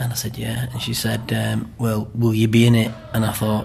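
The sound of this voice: Speaking at a moderate pace, a man with a fairly low pitch and a slightly mellow tone talks in a monotone, flat delivery with vocal fry and audible room echo.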